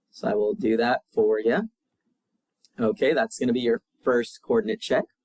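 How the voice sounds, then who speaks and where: The sound is dry and close, with no echo. A man speaks at a moderate pace with very even loudness. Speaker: math teacher. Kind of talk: video lesson.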